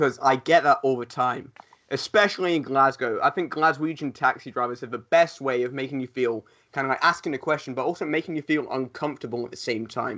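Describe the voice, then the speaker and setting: Over a quiet background, a man speaks at a fairly quick pace. His voice is fairly high-pitched, bright and sharp in tone, with ordinary pitch variation. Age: 20s. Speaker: professional wrestler. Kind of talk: casual chat.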